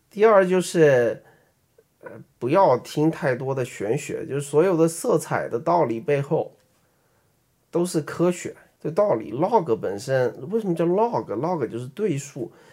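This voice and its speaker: A man with a Beijing accent speaks with a dark, mellow tone at a fairly high pitch. His pace is fairly slow and his intonation lively. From Beijing, China. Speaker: app designer and podcast co-host. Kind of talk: casual chat.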